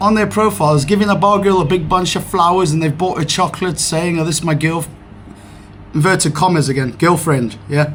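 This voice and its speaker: A man with a fairly high pitch and lively intonation, amid noticeable background noise. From South Africa, Cape Town. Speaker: vlogger. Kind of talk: casual rant vlog. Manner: animated.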